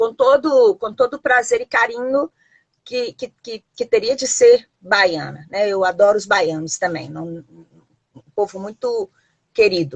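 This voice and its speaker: A woman with a fairly high pitch talks at a fairly slow pace, with lively intonation and big swings in loudness. The sound is dry and close, with no echo. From Brazil, Minas Gerais (Belo Horizonte). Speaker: historian and university professor. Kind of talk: live-stream interview. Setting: Instagram live video stream. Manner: halting, many fillers and repetitions.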